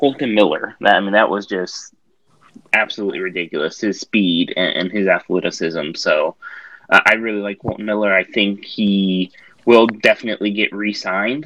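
A man with a plain, everyday voice talks at a moderate pace, his fairly low pitch carried on fairly even intonation. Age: 30s. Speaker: podcast host. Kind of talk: casual chat.

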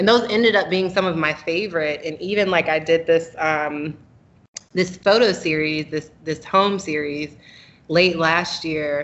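Here is a woman with an American accent and a normal speaking voice, pitched fairly low. She goes at a fairly slow pace with fairly even intonation. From North Carolina (Raleigh). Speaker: photographer. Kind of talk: interview.

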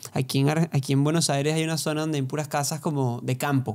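Here a man has a plain, everyday voice, pitched fairly high, with fairly even intonation. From Venezuela, Barquisimeto. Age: 20s. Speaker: podcast co-host, singer-songwriter. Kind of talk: casual chat.

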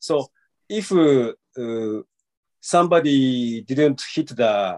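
Here a man with a Japanese accent speaks at a medium pitch with lively intonation. The sound is dry and close, with no echo. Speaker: traditional Japanese archery practitioner. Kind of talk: interview answers. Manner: halting.

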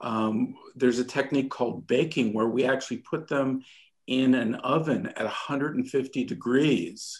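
A man with an unremarkable speaking voice, ordinary pitch variation and a fairly slow pace. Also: medium pitch for a man. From Montreal, Canada. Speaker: recording engineer. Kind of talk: interview storytelling.

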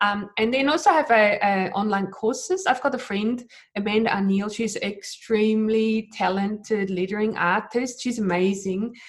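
Somewhat breathy, a woman with a non-native accent talks at a moderate pace and a fairly high pitch, with ordinary pitch variation and hardly any pauses. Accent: foreign-accented English. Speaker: digital artist and YouTube creator. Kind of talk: casual interview chat. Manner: hesitant, with fillers and restarts.

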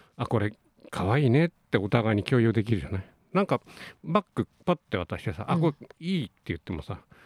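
Talking at a very fast pace, a man at medium pitch swings very widely in pitch, with a dry, close sound and no echo. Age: 60s. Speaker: doctor and radio co-host. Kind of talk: casual radio talk.

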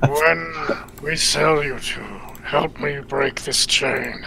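Using a raspy, put-on character voice, a man speaks very slowly at a fairly high pitch over clear background noise. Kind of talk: solemn fantasy speech. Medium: actual play. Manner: formal, no contractions.

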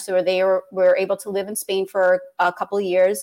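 Speaking in a plain, everyday voice with an American accent, a woman talks at medium pitch and moderate pace in a very clean recording with a silent background. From New York City (Queens). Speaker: children's author. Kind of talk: casual interview.

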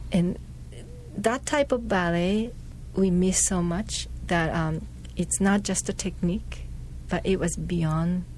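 A woman with a Japanese accent talks at a very slow pace. Her speech has long, frequent pauses. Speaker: dancer and choreographer. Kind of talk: interview. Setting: studio. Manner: halting.

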